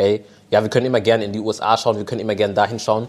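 Very fast, monotone speech from a man with a fairly low pitch and flat intonation. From Germany. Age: 20s. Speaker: panel guest. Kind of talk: live panel discussion. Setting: stage with audience.

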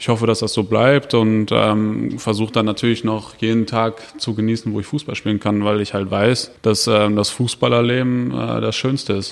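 A man with a plain, everyday voice, fairly low in pitch, at a moderate pace with hardly any pauses. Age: 30s. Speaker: professional footballer. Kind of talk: interview. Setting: stadium.

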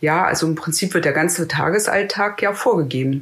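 The woman's voice is very deep and low in pitch. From Berlin, Germany. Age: 40s. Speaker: prison officer. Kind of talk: interview.

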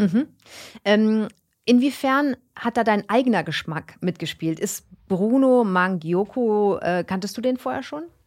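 A woman has a plain, everyday voice with a fairly high pitch and lively intonation. She speaks at a fairly slow pace on a very clean recording with a silent background. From Germany, Karlsruhe. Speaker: podcast host. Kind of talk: casual interview. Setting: studio.

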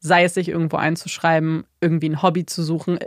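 In a very clean recording with a silent background and a dry, close sound with no echo, a woman with a fairly low pitch speaks at a fairly quick pace in an ordinary speaking voice. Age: 30s. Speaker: podcast co-host. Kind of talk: casual chat.

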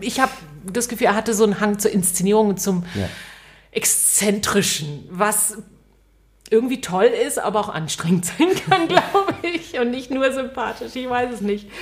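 A woman speaks at a moderate pace with a fairly high pitch and lively intonation. Her voice is somewhat breathy, with long, frequent pauses. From West Berlin. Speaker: radio host and author. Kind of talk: interview conversation.

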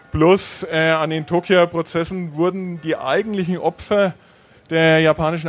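A man with a fairly high voice talks at a moderate speed while noticeable background noise is heard. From Franconia, Bavaria. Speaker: university Japan studies scholar. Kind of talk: panel Q&A at live event.

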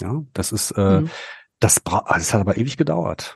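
With very wide pitch swings, a man's somewhat breathy voice has a dark, mellow tone and a dry, close sound with no echo. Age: 40s. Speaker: political staffer and amateur actor. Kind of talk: casual chat.

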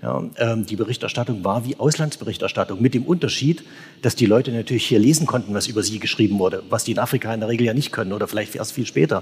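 A man's somewhat breathy, medium-pitched voice at a very fast pace, with ordinary pitch variation. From Saxony. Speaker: newspaper correspondent. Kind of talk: live panel discussion. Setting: church with live audience.

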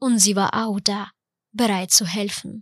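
A woman speaks at a medium pitch and a fairly slow pace with a Ukrainian accent, recorded very cleanly against a silent background with a dry, close sound and no echo. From Ukraine. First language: Ukrainian (speaking German). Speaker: podcast host. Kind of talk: scripted narration.

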